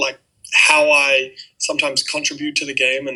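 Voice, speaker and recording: A man with a New Zealand accent at a fairly slow pace. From Auckland, New Zealand. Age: 20s. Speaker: college basketball player. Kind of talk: interview answer. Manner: casual, hesitant.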